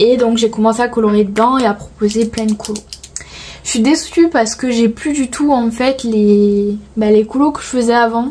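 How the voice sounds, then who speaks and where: A woman talks with fairly even intonation at a moderate pace, her pitch fairly high, as noticeable background noise continues. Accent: southern French. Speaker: coloring vlogger. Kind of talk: casual chat. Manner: hesitant, filler-heavy.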